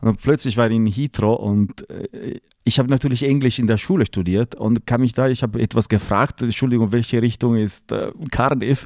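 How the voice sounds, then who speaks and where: Recorded very cleanly against a silent background, a man with an Italian accent speaks with ordinary pitch variation in a dry, close sound with no echo. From northern Italy, Lake Como. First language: Italian (speaking German). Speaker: opera répétiteur and pianist. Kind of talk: casual interview. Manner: halting, searching for words.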